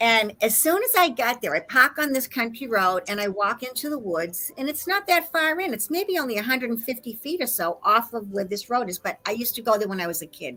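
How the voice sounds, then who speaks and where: Animated in tone, a woman with an American accent speaks quickly enough to count as fairly quick, her bright, sharp, fairly high voice making very wide pitch swings. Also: hardly any pauses. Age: 60s. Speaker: conspiracy researcher. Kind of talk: casual chat. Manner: animated storytelling.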